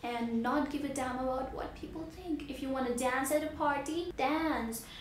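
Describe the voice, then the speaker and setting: High-pitched woman's voice with ordinary pitch variation, noticeable background noise, and audible room echo. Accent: Indian. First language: Hindi. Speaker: vlogger. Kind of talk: motivational vlog. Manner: animated.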